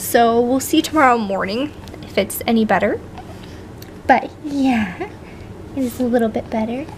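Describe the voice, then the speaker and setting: A woman speaks at a moderate pace in a high voice, with long, frequent pauses and noticeable background noise. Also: ordinary pitch variation. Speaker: vlogger, new mother. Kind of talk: casual vlog update.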